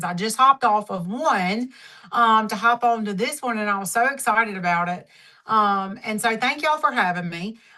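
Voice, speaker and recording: Against a quiet background, a woman with a Southern accent speaks at a moderate pace, her bright, sharp tone set at a fairly high pitch with ordinary pitch variation. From Mississippi, US South. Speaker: network marketing leader, former dermatology nurse. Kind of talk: training talk on a team call.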